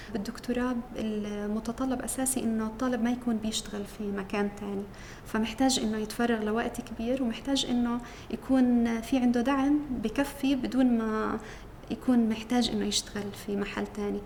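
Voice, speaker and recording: A woman with a fairly high pitch speaks at a moderate pace in a monotone, flat intonation, with noticeable background noise. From Jerusalem. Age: 30s. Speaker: PhD student in pharmacology. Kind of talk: interview testimony. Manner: hesitant, with fillers.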